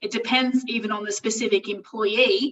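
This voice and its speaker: A woman with an Australian accent speaks in a fairly high pitch, her intonation flat and monotone. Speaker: employment lawyer. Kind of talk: webinar presentation. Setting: online webinar. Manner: fast.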